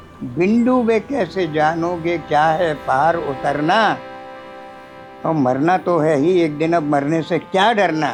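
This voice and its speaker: Over music in the background, a man with a fairly high voice shows ordinary pitch variation and very even loudness. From Chambal valley, Madhya Pradesh, India. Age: 80s+. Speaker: poet. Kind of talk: poetry reading.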